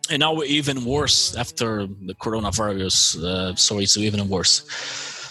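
Over noticeable background noise, a man with an American accent talks at a fairly low pitch with ordinary pitch variation and hardly any pauses. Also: moderate pace. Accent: American-sounding English. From Brazil. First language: Portuguese. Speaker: podcast co-host. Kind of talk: casual chat. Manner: halting.

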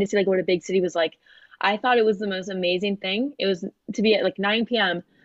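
In an American accent, a woman talks with an ordinary speaking voice at medium pitch. Her intonation stays fairly even. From Florida, US (Fort Lauderdale). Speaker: college volleyball player and student. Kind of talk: interview.

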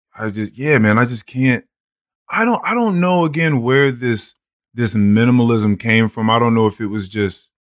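An unremarkable speaking voice from a man at a medium pitch, moderate pace and ordinary pitch variation, with a dry, close sound and no echo. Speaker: podcast host. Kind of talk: casual chat.

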